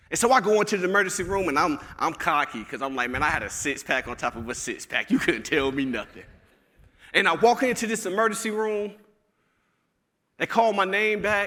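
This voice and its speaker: A man with a Southern US accent speaks in a high, raised, projected voice at a fairly quick pace, his bright, sharp tone animated and his pitch swinging very widely. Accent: Southern, country. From Alabama. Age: 30s. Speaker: motivational speaker. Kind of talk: keynote speech. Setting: stage with audience.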